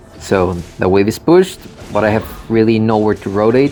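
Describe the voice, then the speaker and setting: Music plays in the background as a man speaks. His pace is moderate, with ordinary pitch variation. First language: Spanish. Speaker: gamer commentator. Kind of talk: gameplay commentary.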